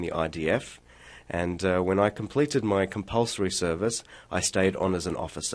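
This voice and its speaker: Very deep and low, a man's voice carries the clip. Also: quiet background. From Australia, Sydney. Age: 30s. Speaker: military spokesman. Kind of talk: radio interview. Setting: radio studio. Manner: frequent filler uh.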